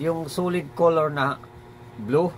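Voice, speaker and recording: The speaker is a man. His voice sits fairly high in pitch. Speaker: motorcycle DIY tutorial vlogger. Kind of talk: tutorial. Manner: halting, many fillers.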